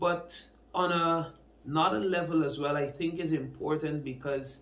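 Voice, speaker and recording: With audible room echo around him, a man talks at a fairly slow pace in a fairly high pitch and fairly even intonation. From Guyana. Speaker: church minister and student. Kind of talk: personal testimony. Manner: hesitant with fillers. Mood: calm, earnest, reflective. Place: studio.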